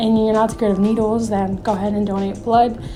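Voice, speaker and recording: Music plays in the background and room echo is audible as a woman speaks in a fairly high pitch with monotone, flat intonation. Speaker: nonprofit founder and video host. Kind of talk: informational talk to camera. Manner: frequent filler ums.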